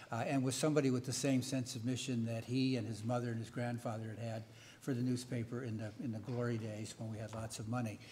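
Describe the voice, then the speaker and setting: Over light background noise, a man talks at a very fast pace with a monotone, flat intonation and an American accent. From United States. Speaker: veteran newspaper editor; panelist. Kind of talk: panel discussion. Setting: stage with audience. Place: hall. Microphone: podium.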